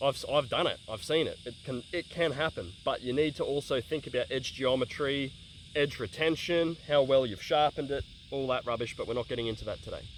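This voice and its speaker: In an Australian accent, a man with a fairly high voice speaks at a fairly quick pace, his pitch varying in an ordinary way. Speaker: bladesmith and tool reviewer. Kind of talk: casual talk to camera. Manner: fast.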